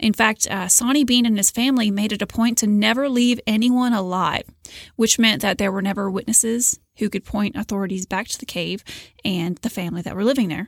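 With a plain, everyday voice, a woman talks at a fairly quick pace and fairly high pitch with ordinary pitch variation, in a very clean, dry, close recording with a silent background and no echo. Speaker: podcast host. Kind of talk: scripted narration.

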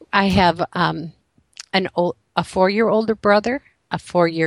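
This woman has an American accent and vocal fry, speaking at a fairly slow pace. Her pitch varies in an ordinary way, and the sound is dry and close with no echo. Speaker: author. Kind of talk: interview testimony.

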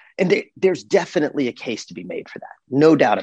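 A man talks at a fairly quick pace with a fairly high pitch and vocal fry, recorded dry and close with no echo. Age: 40s. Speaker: personal finance educator and founder. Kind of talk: interview.

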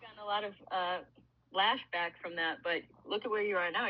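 A woman's ordinary speaking voice, medium in pitch, with an American accent and fairly even intonation. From Illinois, US. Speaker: professional hockey player. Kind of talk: casual interview chat.

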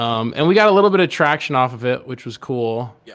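A man with an American accent, a normal speaking voice at medium pitch, and lively intonation. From Connecticut. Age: 20s. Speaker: musician.

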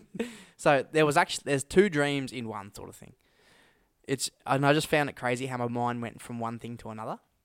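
Speaking fairly quickly with an Australian accent, a man at medium pitch varies his loudness widely, the sound dry and close with no echo. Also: ordinary pitch variation, very clean recording, silent background. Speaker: podcast co-host. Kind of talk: casual chat.

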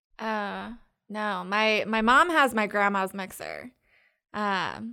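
The voice has vocal fry and a bright, sharp tone, with an American accent. The recording is very clean, with a silent background. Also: woman. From North Carolina, Triangle area. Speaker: comedian, baker and tutor. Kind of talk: casual chat.

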